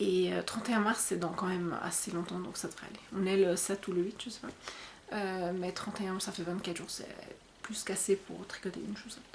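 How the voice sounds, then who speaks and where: Over noticeable background noise, a woman at medium pitch speaks at a fairly quick pace with fairly even intonation and big swings in loudness. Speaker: podcast host. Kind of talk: casual podcast monologue. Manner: fast; hesitant, many fillers.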